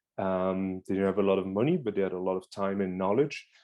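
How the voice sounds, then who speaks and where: Against a quiet background, a man speaks in a fairly low pitch with a dark, mellow tone. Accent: French. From France. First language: French. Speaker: beekeeper. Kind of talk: presentation. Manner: hesitant.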